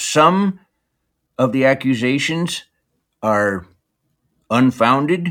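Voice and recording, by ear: At medium pitch, a man speaks with a fairly bright tone.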